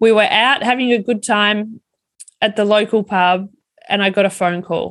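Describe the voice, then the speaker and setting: Speaking with an Australian accent, a woman holds a medium pitch and fairly even intonation. Her loudness stays very even at a moderate pace. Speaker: wellbeing speaker and coach. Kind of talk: personal storytelling monologue.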